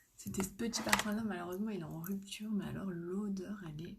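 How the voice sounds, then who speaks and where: A soft-spoken woman talks at a medium pitch with ordinary pitch variation. Room echo is audible. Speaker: makeup seller and live streamer. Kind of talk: live makeup tutorial. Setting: live stream at home.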